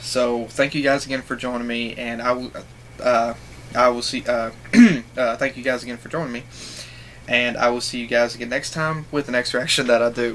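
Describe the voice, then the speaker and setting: Light background noise sits behind a man talking at a fairly quick pace in a monotone, flat delivery. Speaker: reaction video creator. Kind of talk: casual vlog chat. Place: home room. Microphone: webcam.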